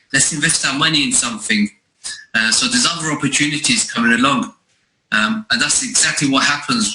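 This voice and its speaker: Speaking with a London accent, a man moves at a fairly quick pace. His pitch swings very widely. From East London, England. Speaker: network marketing recruiter. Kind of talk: sales pitch.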